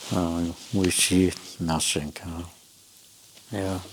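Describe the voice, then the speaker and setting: With noticeable background noise, a man in a German accent speaks at a very slow pace. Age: 80s+. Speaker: interviewee, elderly expellee and researcher. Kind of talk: interview. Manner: halting, with many hesitations.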